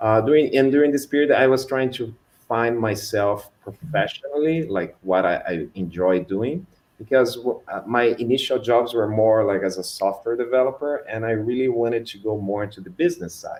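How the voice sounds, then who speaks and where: A man with a Brazilian Portuguese accent speaks at a moderate pace and medium pitch. His pitch varies in an ordinary way. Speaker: customer engineer at a tech company. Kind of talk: online panel talk. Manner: hesitant, many fillers.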